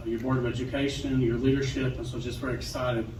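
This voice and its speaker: With an American accent, a man talks at a very fast pace in a medium pitch, his intonation monotone and flat, and audible room echo surrounds his voice. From Western Kentucky. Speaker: state education official. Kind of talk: ceremony speech.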